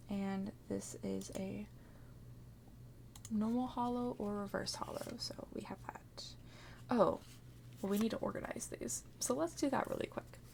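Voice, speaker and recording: Long pauses come often in this speech. The pace is fairly slow over noticeable background noise. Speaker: ASMR creator. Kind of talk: ASMR tutorial-style chat while organizing cards. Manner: soft-spoken.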